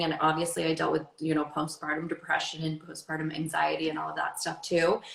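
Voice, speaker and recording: A woman talks fairly quickly, her fairly low voice carrying vocal fry. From Maine. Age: 30s. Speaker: fitness and wellness coach. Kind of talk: interview. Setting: livestream. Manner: animated.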